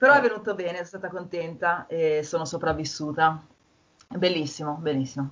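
At a fairly quick pace, a woman with a normal speaking voice and fairly low pitch talks with ordinary pitch variation. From Milan, northern Italy. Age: 30s. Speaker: garden designer. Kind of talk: casual chat.

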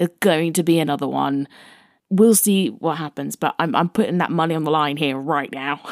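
A woman's very deep, low voice with vocal fry, ordinary pitch variation and a fairly quick pace, on a very clean recording with a silent background. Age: 20s. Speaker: film reviewer podcast host. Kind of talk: film review monologue.

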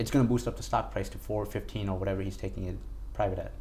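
There is audible room echo as a man speaks. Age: 20s. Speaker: stock trader. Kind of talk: casual interview.

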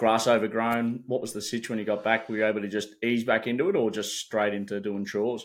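On a very clean recording with a silent background, a man with an Australian accent speaks very fast at medium pitch, monotone and flat, with hardly any pauses. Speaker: sports podcast co-host. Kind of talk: casual chat.

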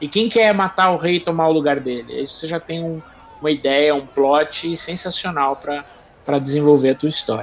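A man with a Brazilian accent, very fast and fairly high-pitched, ordinary pitch variation, noticeable background noise. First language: Portuguese. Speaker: podcast co-host. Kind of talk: interview.

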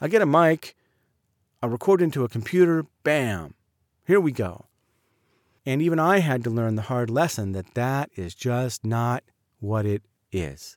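Very wide pitch swings in an American accent, a fairly slow pace with long, frequent pauses, dry, close sound with no echo, and a very clean recording with a silent background. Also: man, medium pitch for a man. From Southern California. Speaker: voice actor and podcaster. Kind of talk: personal monologue.

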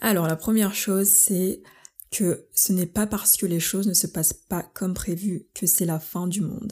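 A somewhat breathy woman with a dark, mellow tone and a medium pitch speaks at a fairly slow pace, with fairly even intonation and very even loudness, in a very clean recording with a silent background. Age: 20s. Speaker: solo podcaster. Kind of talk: casual monologue. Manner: frequent English code-switching; hesitant, many fillers.

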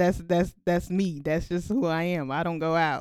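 A woman speaks in an animated tone at a moderate pace. Her pitch sits fairly low for a woman. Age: 20s. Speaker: podcast co-host. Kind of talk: casual chat.

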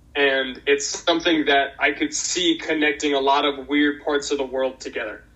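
In an American accent, a fairly high-pitched man talks at a moderate pace with hardly any pauses and a monotone, flat intonation. Noticeable background noise can be heard. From Boston, Massachusetts. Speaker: orca advocate. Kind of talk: casual interview.

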